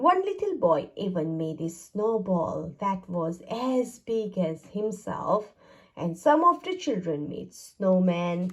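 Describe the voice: A woman's slow delivery with big pitch swings. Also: medium pitch for a woman.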